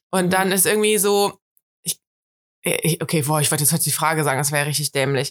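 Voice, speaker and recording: This woman talks at a very fast pace with a very deep, low pitch, broken by long, frequent pauses. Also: ordinary pitch variation, dry, close sound with no echo. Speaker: podcast co-host. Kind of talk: casual chat. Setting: sitting in bed at home.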